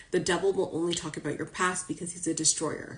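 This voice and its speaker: A woman speaks over noticeable background noise. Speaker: spiritual coach and psychic reader. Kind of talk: live stream talk to followers. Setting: social media live video. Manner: casual, chatty; fast.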